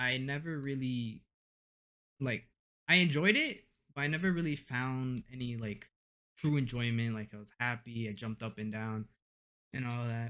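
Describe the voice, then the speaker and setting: The speaker has a Spanish accent and a bright, sharp tone with ordinary pitch variation. Long pauses come often. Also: man, medium pitch for a man, moderate pace. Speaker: university student, gamer. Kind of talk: casual chat. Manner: halting.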